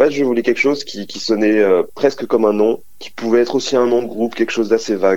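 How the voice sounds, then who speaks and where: This man talks at a very fast pace with hardly any pauses, his medium-pitched voice holding a fairly even intonation while the loudness swings widely. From New Jersey / moved around, French-American. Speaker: music producer. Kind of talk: interview. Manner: halting, with fillers.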